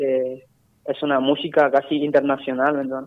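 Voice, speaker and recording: Speaking at a fairly slow pace, a man uses a fairly high pitch with monotone, flat intonation. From Itatí, Corrientes, Argentina. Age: 20s. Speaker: trap musician. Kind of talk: radio interview. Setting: phone call.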